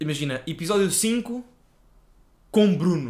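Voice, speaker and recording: A man with a European Portuguese accent speaks with lively intonation. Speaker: podcast co-host. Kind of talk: casual chat.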